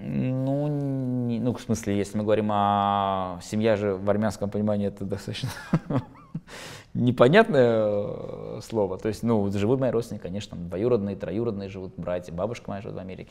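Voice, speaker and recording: This man has a fairly low pitch and ordinary pitch variation. He speaks at a moderate pace. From Russia, Baku Armenian family moved to Russia. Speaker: football commentator and insider; football commentator. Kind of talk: interview. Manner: halting, many fillers. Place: studio. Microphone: lapel.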